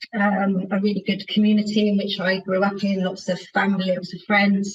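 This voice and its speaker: A woman with a Bristol accent speaks at medium pitch and a moderate pace, her intonation monotone and flat. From Bristol, England. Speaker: housing association chief executive. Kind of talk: podcast interview.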